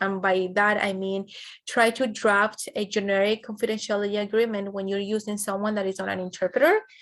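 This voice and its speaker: Fairly even intonation comes through in a Spanish accent over a quiet background. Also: woman. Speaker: educational trainer. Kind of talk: training webinar presentation. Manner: frequent fillers, some false starts.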